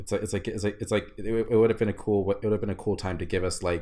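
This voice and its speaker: A man speaks somewhat breathily with an American accent. The recording is very clean, with a silent background. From Texas. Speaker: podcast co-host. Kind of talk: casual chat. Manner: halting, many repetitions.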